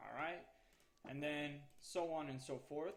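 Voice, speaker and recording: A man with a fairly high pitch at a fairly slow pace. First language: Spanish. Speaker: gaming YouTuber. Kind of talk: tutorial. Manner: casual, hesitant with fillers.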